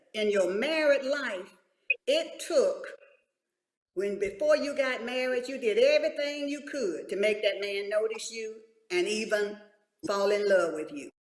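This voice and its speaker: Amid audible room echo, a woman speaks in a high pitch with lively intonation and long, frequent pauses. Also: fairly slow pace. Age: 70s. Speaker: church women's leader. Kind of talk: panel talk show discussion.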